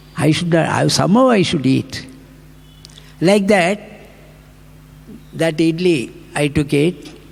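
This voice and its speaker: Background noise is noticeable as a man speaks at a fairly slow pace. His pitch is fairly high, with ordinary variation. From India, Tamil Nadu (Tanjore district). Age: 80s+. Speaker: spiritual speaker. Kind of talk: devotional talk with personal anecdotes. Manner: halting, many false starts.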